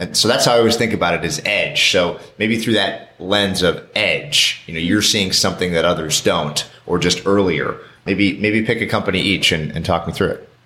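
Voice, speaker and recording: At a moderate pace and with hardly any pauses, a man speaks in a normal speaking voice, fairly low in pitch with ordinary pitch variation. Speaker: podcast host and portfolio manager. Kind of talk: interview.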